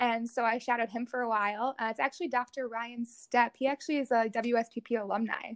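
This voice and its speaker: A woman with an American accent uses an ordinary speaking voice, fairly high in pitch, at a moderate pace with fairly even intonation, in a dry, close sound with no echo. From Minnesota, Twin Cities area. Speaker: graduate student. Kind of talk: interview.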